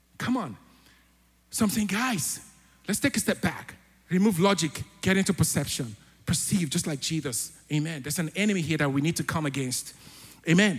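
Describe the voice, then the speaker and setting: With music in the background, a man speaks at a high pitch with lively intonation. His pace is fairly quick, broken by long, frequent pauses. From Africa. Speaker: church elder preaching. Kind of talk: sermon. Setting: church. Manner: animated.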